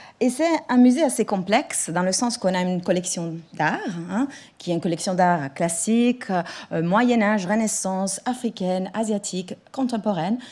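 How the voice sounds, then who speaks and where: On a very clean recording with a silent background, a woman of medium pitch talks at a moderate pace with lively intonation. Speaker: museum director and lecturer. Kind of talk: conference talk. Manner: halting.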